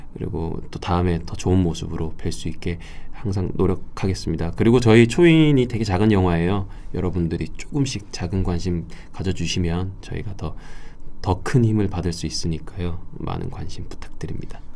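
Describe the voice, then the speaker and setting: Talking at a moderate pace, a man with a dark, mellow tone keeps his very deep, low voice moving with ordinary pitch variation. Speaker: film actor. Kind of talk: interview. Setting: studio.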